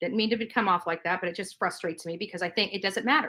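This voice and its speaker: Her tone is bright, sharp and animated. The woman is heard on a very clean recording with a silent background. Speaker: YouTuber. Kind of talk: livestream rant.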